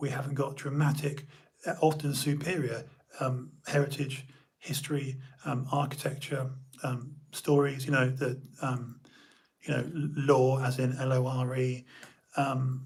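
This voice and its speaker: A man's fairly high voice in a British accent, flat and monotone at a moderate pace, with audible room echo. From United Kingdom. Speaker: live stream host. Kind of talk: casual live stream monologue. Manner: halting, many fillers.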